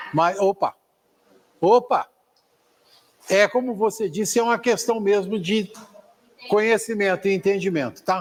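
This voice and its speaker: A man's high voice with ordinary pitch variation and very even loudness, at a fairly slow pace with long, frequent pauses. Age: 60s. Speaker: spiritist course teacher. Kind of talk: lecture; discussion with a student.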